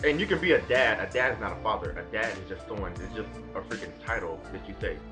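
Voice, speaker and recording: Over background music, a man talks at a very fast pace with big swings in loudness. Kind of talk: casual talk to camera.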